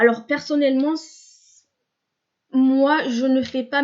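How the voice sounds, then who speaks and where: Her voice is high for a woman, and her intonation stays fairly even. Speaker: therapist and video blogger. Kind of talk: spontaneous vlog monologue. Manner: slow; halting, many fillers.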